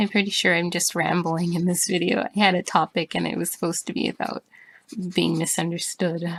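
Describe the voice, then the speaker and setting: A woman speaks at a moderate pace with a fairly low pitch and vocal fry. Her intonation stays fairly even, and the sound is dry and close with no echo. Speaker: artist vlogger. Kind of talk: casual talk while drawing. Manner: monotone; halting.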